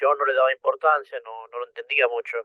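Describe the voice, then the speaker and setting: A man talks at a moderate pace. He speaks with a Rioplatense accent. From Argentina, Buenos Aires. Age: 40s. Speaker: person with OCD sharing experience. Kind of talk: interview. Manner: halting.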